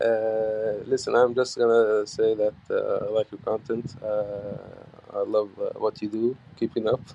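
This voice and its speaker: This man has a non-native accent, medium pitch and a monotone, flat delivery at a fairly slow pace. Noticeable background noise runs beneath him. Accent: foreign accent, noticeable. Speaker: caller. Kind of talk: voice message. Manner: halting, many fillers.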